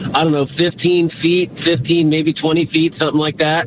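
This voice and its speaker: Over noticeable background noise, a man with an American accent speaks in a high pitch. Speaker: caller. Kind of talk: call-in conversation. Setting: phone call. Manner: halting.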